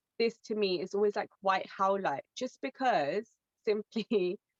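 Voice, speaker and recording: It's a plain, everyday voice with ordinary pitch variation. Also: woman. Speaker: crystal specialist, webinar co-host. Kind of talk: webinar presentation. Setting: online webinar.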